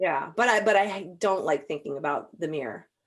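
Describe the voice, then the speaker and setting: A woman speaks with lively intonation and vocal fry. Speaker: podcast host. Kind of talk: casual chat.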